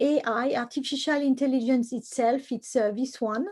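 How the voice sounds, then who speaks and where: A woman speaks in a French accent at a high pitch. Her pace is moderate. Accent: French accent, still noticeable. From France. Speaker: computer science professor. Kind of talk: lecture. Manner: halting, many fillers.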